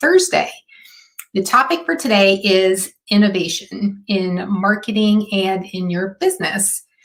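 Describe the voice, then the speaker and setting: A woman's somewhat breathy voice at medium pitch, with a moderate pace and fairly even intonation. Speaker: marketing consultant. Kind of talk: live stream talk. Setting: live video stream.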